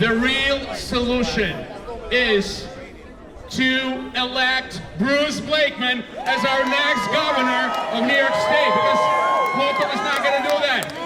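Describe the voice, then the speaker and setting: Over crowd noise and audible room echo, a man uses a raised, projected voice at an extremely high pitch. He talks at a very slow pace with very even loudness and ordinary pitch variation. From Soviet Union (Moscow). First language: Russian. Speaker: politician. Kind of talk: rally speech. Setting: outdoor rally with crowd. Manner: halting, repetitive.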